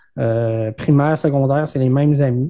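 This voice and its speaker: The background is quiet. A man with a Quebec accent speaks in a dark, mellow tone. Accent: Québécois French. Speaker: entrepreneur. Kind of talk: interview. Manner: halting, many fillers and repetitions.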